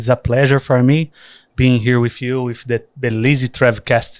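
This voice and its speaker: A man with a Brazilian accent speaks at a moderate pace in a monotone, flat intonation. The recording is very clean, with a silent background. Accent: Brazilian countryside. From countryside Brazil. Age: young. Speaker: traveler and influencer. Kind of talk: casual interview.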